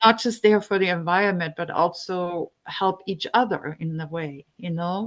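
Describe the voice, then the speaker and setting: Against a quiet background, a woman with a non-native accent speaks at a moderate pace with ordinary pitch variation. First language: not English. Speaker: climate activist volunteer. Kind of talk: group discussion, personal sharing. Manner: halting, many fillers.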